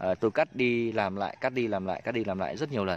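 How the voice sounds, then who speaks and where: Fairly low in pitch, a man talks at a very fast pace with ordinary pitch variation. The sound is dry with no echo. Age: 30s. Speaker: bonsai grower and video host. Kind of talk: casual vlog talk to camera. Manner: hesitant with many fillers. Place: garden. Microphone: phone near.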